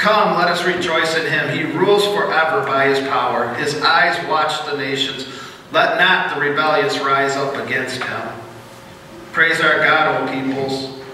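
In a room with strong echo and light background noise, a man speaks fairly slowly with ordinary pitch variation. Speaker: pastor leading worship. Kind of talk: prayer and scripture reading. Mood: solemn, reverent prayer. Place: church.

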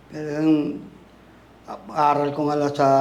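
A man speaks at a very slow pace. Audible room echo is present. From Tacloban, Leyte, Philippines. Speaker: convert to Islam telling life story. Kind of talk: life story interview.

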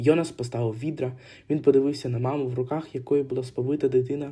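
The words are read aloud in a natural voice. The pitch varies little, staying fairly even.

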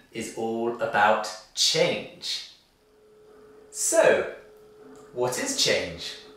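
A man speaks with a British accent. Room echo is audible. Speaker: English teacher. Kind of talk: ESL lesson to camera. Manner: slow, clear. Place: studio.

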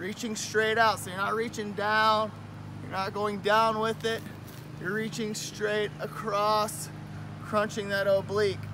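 Over noticeable background noise, a man speaks in a raised, projected voice at a fairly slow pace with monotone, flat intonation. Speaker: fitness instructor. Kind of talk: tutorial. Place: garden.

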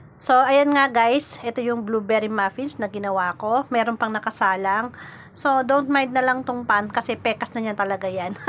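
A woman talks in an ordinary speaking voice at a moderate pace. Her fairly high pitch shows ordinary variation. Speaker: vlogger. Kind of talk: casual vlog.

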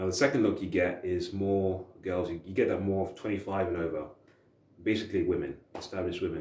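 There is audible room echo as a man talks at a moderate pace. His voice is fairly low in pitch and somewhat breathy. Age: 30s. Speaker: dating advice youtuber. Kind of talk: casual monologue to camera. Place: home room. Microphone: camera far.

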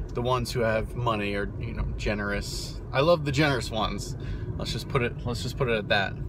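Noticeable background noise accompanies a man speaking at a fairly quick pace in a dry sound with no echo. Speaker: driver vlogger. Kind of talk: casual vlog chat. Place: car.

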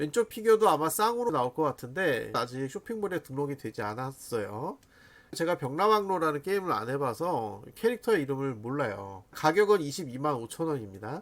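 His pitch swinging very widely, a man with a fairly high voice talks at a moderate pace. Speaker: figure review YouTuber. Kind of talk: casual product roundup. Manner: chatty, animated.

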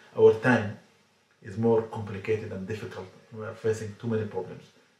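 A man talks at a very fast pace. Audible room echo follows his words. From Sudan. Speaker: Islamic scholar. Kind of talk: religious talk to camera. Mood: earnest, calm exhortation. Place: home room.

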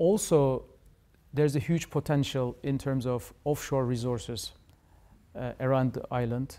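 On a very clean recording with a silent background, a man with a Turkish accent speaks at a fairly slow pace with long, frequent pauses, using a medium pitch, ordinary pitch variation and a dark, mellow tone. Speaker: diplomat. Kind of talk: interview. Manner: formal.

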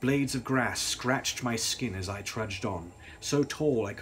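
Reading aloud done plainly, its pitch varying in an ordinary way

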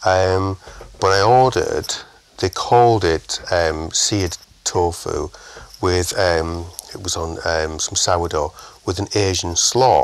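A man with a northern English accent, very deep and low in pitch, at a very slow pace with ordinary pitch variation. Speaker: chef, podcast guest.

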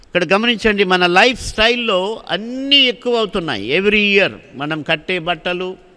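A man's voice comes through with a bright, sharp tone. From Andhra Pradesh, Anantapur district (Hindupur); Andhra Pradesh. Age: 60s. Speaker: preacher. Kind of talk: sermon. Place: church. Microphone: studio mic.

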